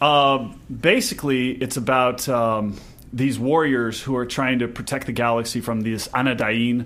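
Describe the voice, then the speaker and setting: In an American accent, a man speaks at a moderate pace with monotone, flat intonation. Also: medium pitch for a man. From south Texas, near the Mexican border. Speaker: reality TV cast member and restaurant manager. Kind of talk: interview. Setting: radio studio. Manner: halting.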